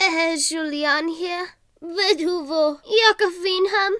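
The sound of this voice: A squeaky, female-sounding put-on character voice at an extremely high pitch and very slow pace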